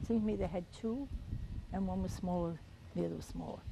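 A woman is speaking in a dry space with no echo. Noticeable background noise runs underneath. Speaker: World War II Women's Army Corps veteran. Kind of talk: oral history interview answer. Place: street. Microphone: lapel.

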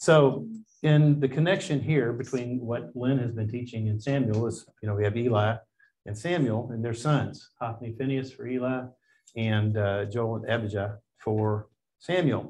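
Somewhat breathy, a man speaks at a moderate pace with ordinary pitch variation. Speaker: class teacher. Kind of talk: lecture. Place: classroom.

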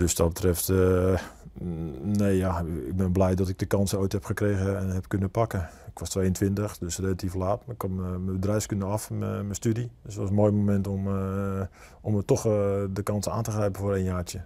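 His voice is very deep and low, with a dark, mellow tone. He speaks at a moderate pace in a monotone, flat delivery. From Netherlands, South Holland coast. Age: 40s. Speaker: football coach. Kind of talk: interview. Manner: calm; halting. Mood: calm, reflective. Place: studio. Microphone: lapel.

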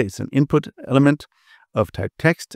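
A man speaks in a dark, mellow tone at a moderate pace. The sound is dry with no echo, over a quiet background. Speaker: automation software educator. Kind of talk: tutorial. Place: home room.

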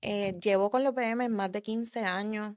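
Against a quiet background, a woman talks fairly slowly at a medium pitch, her intonation monotone and flat. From Puerto Rico, raised in the US from early childhood. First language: English (speaking Spanish). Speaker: car enthusiast and drag racer; podcast guest. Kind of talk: casual interview chat; interview answer. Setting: studio. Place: studio. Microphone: studio mic.

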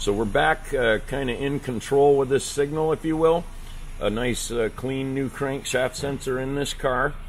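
Noticeable noise sits in the background. The delivery is fairly slow, with intonation that stays fairly even. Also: man. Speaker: auto technician instructor. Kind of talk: tutorial. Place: garage.

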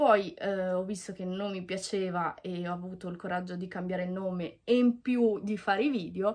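Against a quiet background, a woman talks with fairly even intonation and hardly any pauses. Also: moderate pace. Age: 20s. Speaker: YouTuber. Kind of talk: vlog monologue. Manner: halting. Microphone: phone near.

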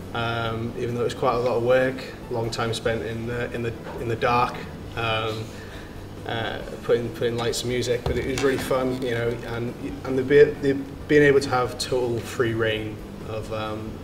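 Long, frequent pauses break up speech at a moderate pace against noticeable background noise. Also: man. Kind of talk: interview answer. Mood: relaxed, positive. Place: stage.

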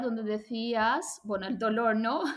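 This woman's voice sits fairly high in pitch. The background is quiet. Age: 30s. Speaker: language school owner and Spanish teacher; Spanish teacher. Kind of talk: testimonial interview. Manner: halting. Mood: reflective, positive. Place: home room. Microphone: webcam.

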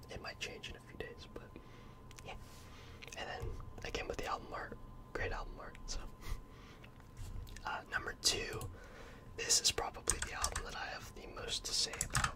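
Whispering and soft-spoken, a man talks at a moderate pace with long, frequent pauses. Noticeable background noise can be heard. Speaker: music reviewer. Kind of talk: casual commentary. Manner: soft close-mic whisper. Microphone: studio mic.

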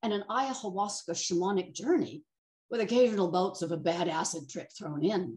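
The speaker talks at a moderate pace and sounds somewhat breathy. The background is quiet. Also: woman. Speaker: storyteller sharing a personal account. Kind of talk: reading a personal essay aloud. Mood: wry, humorous, animated. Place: home room. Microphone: video call.

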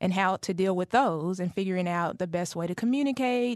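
In an American accent, a woman races along at a very fast pace at a medium pitch with ordinary pitch variation, in a dry sound with no echo against a quiet background. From Dallas, Texas. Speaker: family caregiver and advocate. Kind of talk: radio interview. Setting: studio. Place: studio. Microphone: studio mic.

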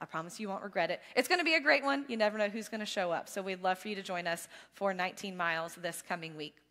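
Against a quiet background, a woman speaks very fast at a medium pitch, her tone bright and sharp and her intonation lively. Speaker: church staff giving announcements. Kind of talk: church announcements. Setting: church service. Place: church. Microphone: headset.

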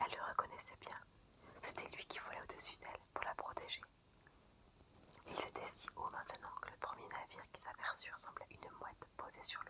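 A whispering voice moves at a moderate pace with long, frequent pauses. The tone is calm, and background noise is noticeable. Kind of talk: whispered ASMR fairy-tale reading for sleep and relaxation. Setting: audio recorded close-up for ASMR. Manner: whispered, soft-spoken, calm.

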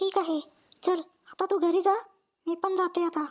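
A squeaky, cartoonish character voice from a female-sounding speaker stays monotone and flat at an extremely high pitch. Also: moderate pace. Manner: soft, calm, kindly.

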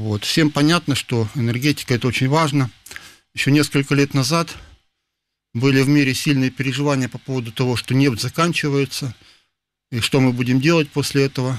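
A man speaks with fairly even intonation and long, frequent pauses. The sound is dry, with no echo. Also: fairly quick pace. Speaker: physics professor. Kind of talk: interview. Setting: studio. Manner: halting. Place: studio.

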